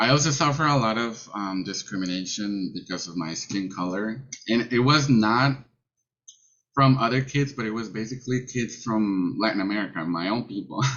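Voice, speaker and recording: Using a Mexican accent, the man talks at a moderate pace with medium pitch and ordinary pitch variation. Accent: Mexican Spanish accent, noticeable. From Mexico. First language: Spanish. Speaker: college student panelist. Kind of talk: personal testimony on a panel. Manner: halting, many fillers.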